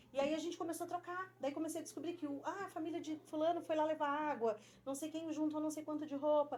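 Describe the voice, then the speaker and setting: Her pitch high and her intonation fairly even, a woman talks at a very fast pace. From Rio Grande do Sul, Brazil. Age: 40s. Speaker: school teacher. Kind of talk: interview conversation.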